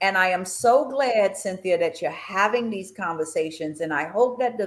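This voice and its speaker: On a very clean recording with a silent background, a woman with a plain, everyday voice speaks at a moderate pace and with lively intonation. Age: 60s. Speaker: retirement planning expert. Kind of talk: talk show interview.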